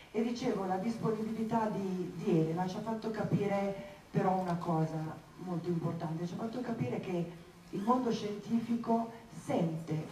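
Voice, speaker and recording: With audible room echo and light background noise, a woman talks at a fairly slow pace with ordinary pitch variation. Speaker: event host. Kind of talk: public opening speech. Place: hall.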